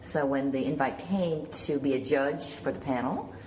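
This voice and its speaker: A woman with an American accent, very deep and low in pitch, fairly even in intonation, with audible room echo and noticeable background noise. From Killarney, Ireland, then New York from age seven. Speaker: film and television producer. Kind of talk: panel interview. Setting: film festival panel.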